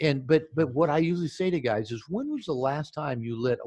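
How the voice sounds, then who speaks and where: At a fairly quick pace, a man speaks with lively intonation and a somewhat breathy sound. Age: 60s. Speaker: psychotherapist and author. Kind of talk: interview. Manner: halting with frequent repetitions.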